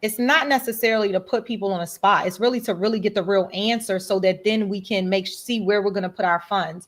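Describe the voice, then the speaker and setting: With an animated tone, a woman speaks at a medium pitch with ordinary pitch variation. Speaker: school board member. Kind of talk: livestream budget review chat. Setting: video call. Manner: fast.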